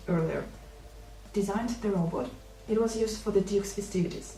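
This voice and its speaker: A woman with a non-native accent talks at a fairly quick pace. Noticeable background noise can be heard. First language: not English.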